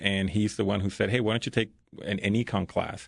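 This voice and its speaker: A man with a Spanish accent, fairly low pitch and monotone, flat intonation at a very fast pace, over a quiet background. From Mexico. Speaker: school principal. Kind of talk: casual interview conversation. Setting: podcast studio.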